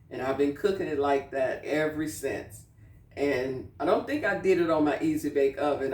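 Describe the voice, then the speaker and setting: Amid noticeable background noise, a woman talks in a very deep, low pitch with ordinary pitch variation. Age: 60s. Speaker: cooking channel host. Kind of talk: casual cooking tutorial. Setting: home kitchen. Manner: conversational, with frequent fillers.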